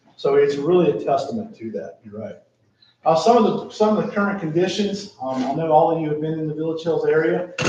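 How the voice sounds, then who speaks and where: A man's lively intonation in an American accent at a fairly quick pace, with audible room echo. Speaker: town staff presenting a plan. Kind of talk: council meeting presentation. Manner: fast.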